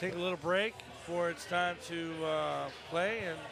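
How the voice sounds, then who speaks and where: A man speaks very slowly at a high pitch with ordinary pitch variation. There is noticeable background noise and audible room echo. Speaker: foosball player and commentator. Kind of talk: live commentary chat. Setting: bar tournament. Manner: soft-spoken; halting. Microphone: too quiet.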